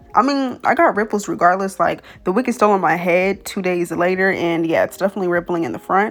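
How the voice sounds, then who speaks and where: A woman's medium-pitched voice with vocal fry, lively intonation and a fairly quick pace. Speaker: beauty YouTuber. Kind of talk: tutorial voiceover. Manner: casual, chatty.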